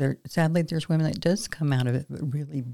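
A woman's very deep, low voice with a dark, mellow tone and ordinary pitch variation comes through on a very clean recording with a silent background. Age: 60s. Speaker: co-host, mother of host. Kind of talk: casual conversation podcast.

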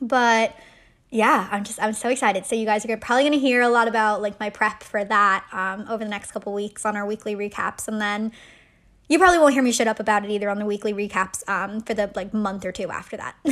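A woman with an American accent at a very fast pace, fairly high in pitch with fairly even intonation, on a very clean recording with a silent background. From Ireland. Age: 20s. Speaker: podcast host. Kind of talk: casual chat, solo episode monologue. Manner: casual, chatty, uses filler words.

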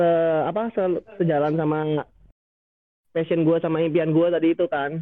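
A man with a high pitch talks at a very fast pace. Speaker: student photographer. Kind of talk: casual chat.

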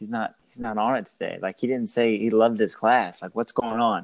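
Speaking at a moderate pace and a medium pitch, a man has a plain, everyday voice over a quiet background. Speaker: school staff podcast host. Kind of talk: casual interview. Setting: remote call.

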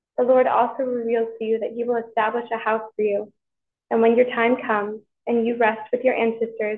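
A woman speaks at a moderate pace with a fairly high pitch. Her intonation is monotone and flat. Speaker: scripture reader at Mass. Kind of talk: scripture reading aloud.

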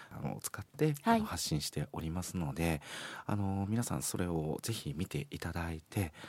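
This man's pitch is very deep and low, with ordinary pitch variation, and he talks at a moderate pace. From Beppu, Ōita, Kyushu. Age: 40s. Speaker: care facility staff, former musician and comedian. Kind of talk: casual interview.

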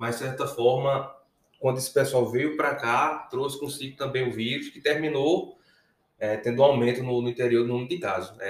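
Moderately paced, a man at medium pitch keeps his intonation fairly even while his loudness swings widely. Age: 30s. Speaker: emergency physician. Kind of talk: casual interview chat. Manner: halting, repeats words.

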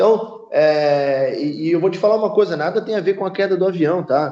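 Amid noticeable background noise, a man speaks with a high pitch and ordinary pitch variation. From Brazil, Rio de Janeiro. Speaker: football club president. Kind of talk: podcast interview. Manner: halting, many fillers and repetitions.

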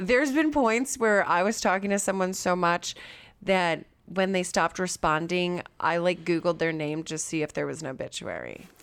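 On a very clean recording with a silent background, a normal speaking voice moves at a moderate pace with ordinary pitch variation. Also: woman, fairly low pitch for a woman. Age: 30s. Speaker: podcast host. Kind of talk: casual chat.

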